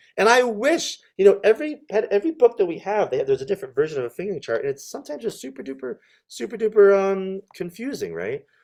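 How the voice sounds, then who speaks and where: Talking at a very fast pace, a man speaks with an American accent. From New York. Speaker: clarinet professor. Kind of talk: online workshop talk.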